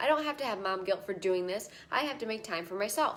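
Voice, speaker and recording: Over noticeable background noise, a woman talks in an animated tone at a fairly quick pace with ordinary pitch variation. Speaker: fitness coach. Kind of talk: live stream talk. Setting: live stream. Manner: fast.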